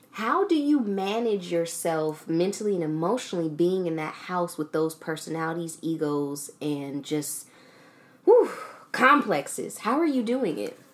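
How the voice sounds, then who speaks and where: Against noticeable background noise, a woman at a fairly low pitch speaks at a fairly slow pace with very wide pitch swings. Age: 20s. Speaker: podcast host. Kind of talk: casual interview chat.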